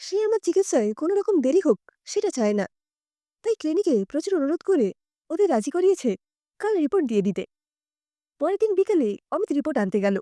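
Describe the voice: A dark, mellow voice moves at a fairly quick pace with big pitch swings and long, frequent pauses. The recording is very clean, dry and close, with no echo and a silent background. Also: woman, high pitch for a woman.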